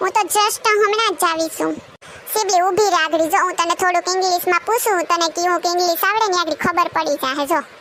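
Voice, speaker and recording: A woman performs a cartoonish character voice at an extremely high pitch, speaking at a moderate pace with very even loudness over clear background noise. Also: ordinary pitch variation. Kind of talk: comic village banter. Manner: teasing, know-it-all.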